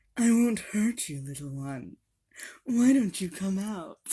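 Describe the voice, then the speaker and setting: In a put-on character voice, a female-sounding speaker uses a sinister tone, a medium pitch for a woman and a fairly slow pace. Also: very clean recording, silent background. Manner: sweet and sinister.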